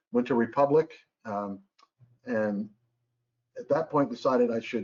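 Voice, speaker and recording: A man with an American accent, fairly quick and fairly even in intonation. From US South, North Carolina. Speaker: aviation consultant and retired airline captain. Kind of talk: webinar presentation. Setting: online webinar.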